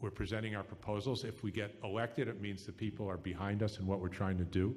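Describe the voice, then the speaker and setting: This is a man with a normal speaking voice. His intonation is fairly even. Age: 60s. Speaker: political candidate. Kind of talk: political debate answer. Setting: live radio forum.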